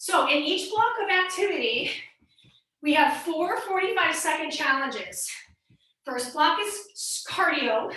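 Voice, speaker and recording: A woman projects a raised voice with an energetic tone at an extremely high pitch, swinging very widely in pitch. She speaks at a fairly slow pace, with audible room echo. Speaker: fitness instructor. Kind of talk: workout instruction. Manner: energetic, coaching.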